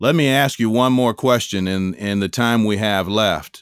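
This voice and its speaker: This man has an unremarkable speaking voice, fairly low in pitch with ordinary pitch variation. He keeps a moderate pace on a very clean recording with a silent background. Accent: American. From Chicago. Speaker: podcast host and author. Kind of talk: interview.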